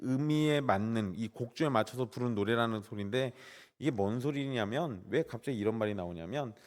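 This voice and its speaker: This very clean recording has a silent background. In it, a man talks. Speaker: guest pastor. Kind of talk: sermon.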